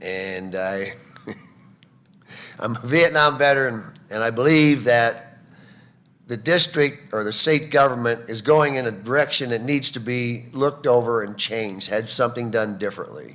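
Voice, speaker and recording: A man with an American accent has an unremarkable speaking voice at medium pitch, talking at a moderate pace with ordinary pitch variation. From rural Illinois. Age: 60s. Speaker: political candidate. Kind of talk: debate opening statement. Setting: public debate with audience.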